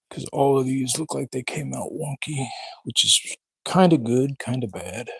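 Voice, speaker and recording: Mumbled speech at a moderate pace. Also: man, medium pitch for a man, ordinary pitch variation. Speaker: woodworker. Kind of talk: live stream. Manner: mumbling.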